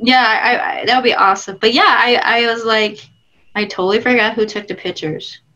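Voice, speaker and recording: The tone is bright and sharp, the pace fairly quick, and the pitch varies in an ordinary way. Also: woman, fairly high pitch for a woman. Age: 30s. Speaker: film director; interview guest. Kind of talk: casual interview chat. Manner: animated. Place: home room. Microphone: video call.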